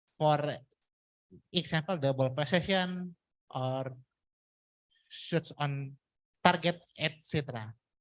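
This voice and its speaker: Very slow speech with an Indonesian accent and long, frequent pauses. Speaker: university student asking a question. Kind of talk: audience question. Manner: halting.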